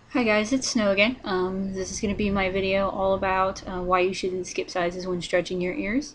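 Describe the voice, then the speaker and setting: A soft-spoken woman with an American accent, at a moderate pace with hardly any pauses. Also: medium pitch for a woman, ordinary pitch variation. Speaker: vlogger. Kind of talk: casual tutorial vlog. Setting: at home, partner sleeping nearby. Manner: quiet, soft-spoken; hesitant, many fillers.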